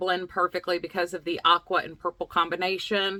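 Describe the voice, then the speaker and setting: A woman with a Southern US accent, a bright, sharp tone and a moderate pace, in a dry, close sound with no echo. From US South, Lexington, North Carolina. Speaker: craft video host. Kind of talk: casual vlog chat. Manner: animated.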